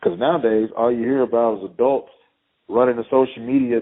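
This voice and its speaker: Speaking with a Texan accent, a man talks at a fairly quick pace and a medium pitch with fairly even intonation. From East Texas. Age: 30s. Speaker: high school football head coach. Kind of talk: interview.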